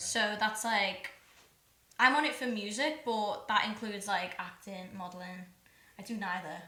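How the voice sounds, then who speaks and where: In a Liverpool accent, a woman talks at a moderate pace and medium pitch, her pitch varying in an ordinary way, with audible room echo. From Liverpool, England. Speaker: singer-songwriter. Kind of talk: casual chat.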